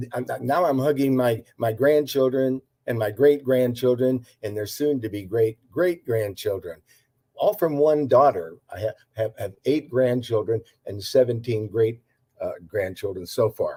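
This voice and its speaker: Dark, mellow tone, somewhat breathy, with ordinary pitch variation. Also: man, medium pitch for a man. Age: 80s+. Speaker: herbal health practitioner. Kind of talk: interview. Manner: halting, many fillers and repetitions.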